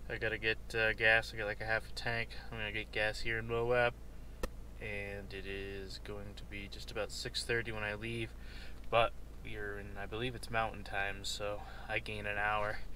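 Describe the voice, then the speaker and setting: A man speaks at a moderate pace, the sound dry with no echo and light noise behind him. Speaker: vlogger. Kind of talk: casual vlog chat. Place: car. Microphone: phone near.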